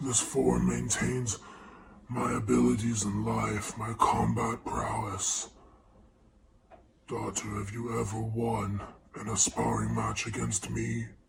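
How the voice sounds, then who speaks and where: In a put-on character voice, a man speaks at a fairly low pitch and fairly slow pace with long, frequent pauses. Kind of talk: archaic formal speech. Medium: actual play. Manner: solemn, formal, fatherly.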